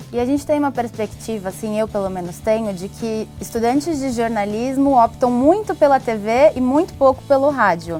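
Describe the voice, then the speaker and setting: Over music in the background, a woman with a fairly high pitch talks at a moderate pace with lively intonation and hardly any pauses. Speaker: interviewer / TV host. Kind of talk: interview question.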